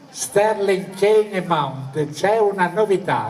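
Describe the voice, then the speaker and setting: Noticeable background noise sits behind the speaker. A man talks at a very slow pace. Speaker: sports commentator. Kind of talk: live football match commentary. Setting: outdoors.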